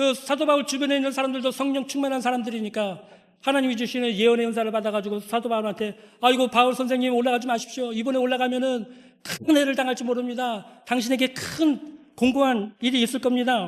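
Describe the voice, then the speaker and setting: A man talks at a very fast pace. His pitch is extremely high and his intonation fairly even. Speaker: pastor. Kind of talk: sermon. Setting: church.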